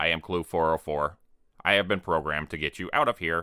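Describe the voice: A man uses a robotic, put-on character voice with a very deep, low pitch at a fairly quick pace.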